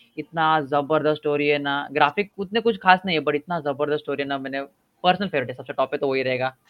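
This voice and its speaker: This man has an ordinary speaking voice. His pitch sits fairly high. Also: ordinary pitch variation. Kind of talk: casual chat.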